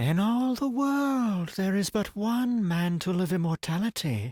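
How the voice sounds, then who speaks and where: This man uses a put-on character voice pitched high, at a fairly slow pace. The recording is very clean, with a silent background. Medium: read story.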